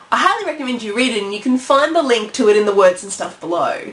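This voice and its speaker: A high-pitched woman's voice at a fairly quick pace with very wide pitch swings amid noticeable background noise. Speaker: vlogger on indie publishing. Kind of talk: vlog monologue.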